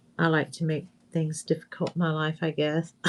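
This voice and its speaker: Speaking in an American accent, a woman has an unremarkable speaking voice. Her pitch is fairly low and her pace fairly slow. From US South, Northwest Florida. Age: 60s. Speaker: craft video host. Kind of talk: craft tutorial livestream. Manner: casual, chatty.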